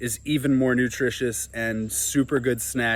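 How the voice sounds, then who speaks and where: The speaker has a New Jersey accent and fairly even intonation. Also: man. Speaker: farmer and YouTuber. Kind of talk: casual vlog tutorial. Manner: conversational.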